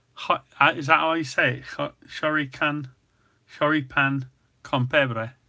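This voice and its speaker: With an English Midlands accent, a man speaks fairly slowly in a fairly high pitch, his tone bright and sharp and his intonation monotone and flat. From England, Nottingham. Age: 60s. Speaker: cooking channel host. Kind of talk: casual chat. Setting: live stream.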